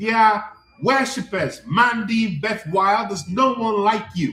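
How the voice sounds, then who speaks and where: A man talks loudly at a high pitch and a fairly slow pace. His pitch varies in an ordinary way, with music in the background. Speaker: life coach. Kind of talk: live stream talk. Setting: livestream. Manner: impassioned.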